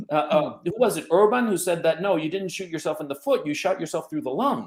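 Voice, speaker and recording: With an American accent, a man talks in very wide pitch swings. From United States (educated there). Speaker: podcast host. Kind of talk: panel discussion.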